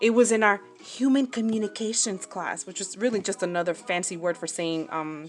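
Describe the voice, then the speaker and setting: With an American accent, a woman talks at a fairly quick pace and ordinary pitch variation. Noticeable background noise is present. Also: medium pitch for a woman. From New Jersey, US. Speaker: crafting YouTuber. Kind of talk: casual chat while sewing tutorial. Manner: chatty, rambling, casual.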